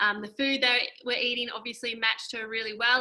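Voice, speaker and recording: A high-pitched woman with an Australian accent speaks fairly quickly in an animated, bright and sharp tone. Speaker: health coach. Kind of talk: webinar presentation. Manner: fast.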